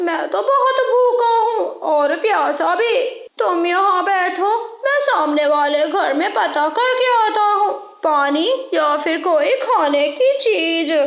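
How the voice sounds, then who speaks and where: An extremely high-pitched cartoonish character voice at a fairly slow pace. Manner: sly, self-serving.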